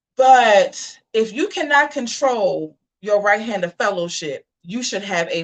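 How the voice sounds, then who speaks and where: An animated tone with very wide pitch swings. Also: woman. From US Mid-Atlantic (DC/Maryland/Virginia area). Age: 40s. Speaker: online talk show host. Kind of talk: casual commentary livestream.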